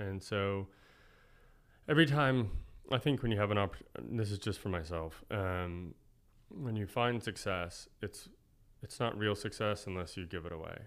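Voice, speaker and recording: On a very clean recording with a silent background, a man with an American accent speaks at a fairly low pitch and a moderate pace. His pitch varies in an ordinary way, and he leaves long, frequent pauses. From Oklahoma City. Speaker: chef and restaurateur. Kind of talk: casual interview.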